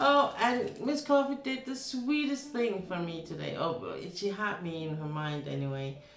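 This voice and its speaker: Speaking at a moderate pace with hardly any pauses, a woman with a Danish accent uses a medium pitch and very wide pitch swings, amid audible room echo and noticeable background noise. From Denmark. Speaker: streamer. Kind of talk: casual chat. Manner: halting.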